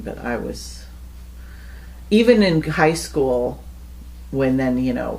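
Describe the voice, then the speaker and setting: A woman with an American accent talks at a fairly slow pace. Room echo is audible. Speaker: interviewee recounting life story. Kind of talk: casual storytelling interview.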